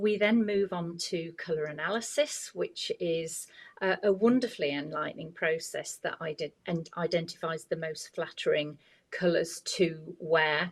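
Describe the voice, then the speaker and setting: A woman with a normal speaking voice, ordinary pitch variation and a fairly slow pace. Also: fairly low pitch for a woman. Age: 60s. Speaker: image consultant. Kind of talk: podcast interview.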